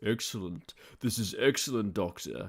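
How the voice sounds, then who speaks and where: A man puts on a robotic character voice at a fairly low pitch. He speaks at a moderate pace. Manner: flat, clipped, monotone.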